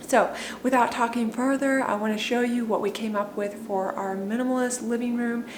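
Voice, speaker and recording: Amid noticeable background noise and audible room echo, a woman with a fairly high pitch talks at a moderate pace with ordinary pitch variation. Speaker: home declutter vlogger. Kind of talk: casual vlog talk to camera.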